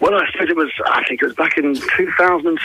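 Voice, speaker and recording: Noticeable background noise around a man talking at a fairly quick pace. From England. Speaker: rapper. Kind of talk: interview. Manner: halting.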